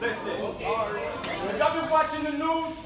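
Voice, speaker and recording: A man talks over noticeable background noise, with audible echo in the room. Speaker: spoken word poet. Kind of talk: spoken word poetry performance. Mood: pointed, socially charged. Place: stage. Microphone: camera far.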